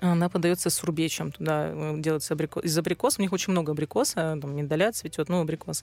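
A woman's very deep, low pitch at a very fast pace with hardly any pauses. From Russian Far East (Sakhalin). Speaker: food journalist and publisher. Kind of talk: casual chat. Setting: studio. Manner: animated.

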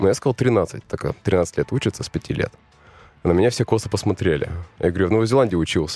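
A man talks at a fairly low pitch and a very fast pace, with ordinary pitch variation and long, frequent pauses, music in the background and a dry, close sound with no echo. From New Zealand (born in Russian Far East). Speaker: interview guest, expat returnee. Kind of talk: interview.

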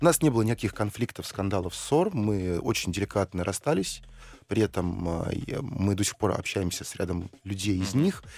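A man's plain, everyday voice, fairly low in pitch, at a moderate pace with ordinary pitch variation. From Russia, Saint Petersburg. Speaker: investor and entrepreneur. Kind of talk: radio interview.

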